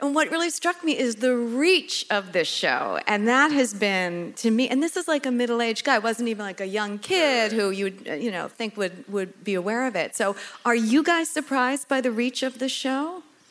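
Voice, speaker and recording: A woman with a high voice talks at a moderate pace with lively intonation and hardly any pauses, against noticeable background noise. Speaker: podcast host and event producer. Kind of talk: interview, introductions.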